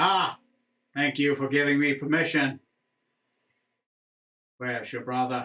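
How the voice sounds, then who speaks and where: A man speaks at a moderate pace in a put-on character voice, guttural and fairly high-pitched, with long, frequent pauses and a slight echo. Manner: menacing.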